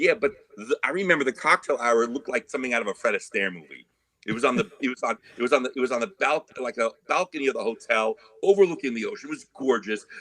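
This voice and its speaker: Speaking at a very fast pace, a man with an American accent uses a bright, sharp tone at medium pitch and lively intonation, in a dry, close sound with no echo. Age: 50s. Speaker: trumpet player. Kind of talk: casual interview chat.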